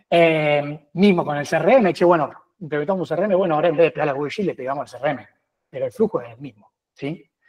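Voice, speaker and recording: Very fast, with big swings in loudness, a man speaks at a fairly high pitch with ordinary pitch variation. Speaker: data and automation expert. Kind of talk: webinar tech demo.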